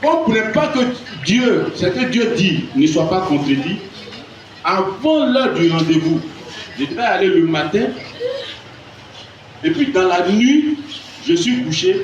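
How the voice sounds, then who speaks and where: A man with a high voice speaks very slowly, his pitch swinging very widely and his pauses long and frequent. The room echoes audibly and background noise is noticeable. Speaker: church member giving testimony. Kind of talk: testimony. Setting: church with audience. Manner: soft-spoken.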